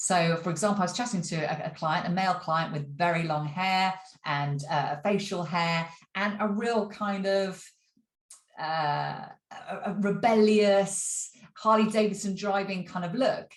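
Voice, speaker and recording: Somewhat breathy, a woman speaks at a fairly slow pace with ordinary pitch variation, and audible room echo surrounds her voice. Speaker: acting career coach. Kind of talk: vlog. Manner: casual with many fillers.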